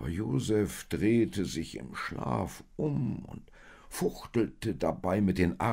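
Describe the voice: The speaker does plain reading aloud.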